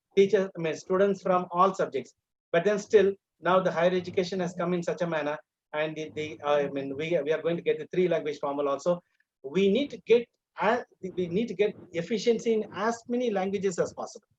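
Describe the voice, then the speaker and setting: Fairly quick speech with a Tamil Indian accent and ordinary pitch variation. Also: man, high pitch for a man. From Tamil Nadu, India. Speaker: English teacher educator. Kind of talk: lecture. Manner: halting, many fillers.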